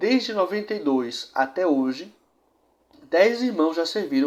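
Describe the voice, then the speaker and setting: The recording is very clean and the background silent. In it, a man speaks with lively intonation. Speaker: church history show presenter. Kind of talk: presented history narration.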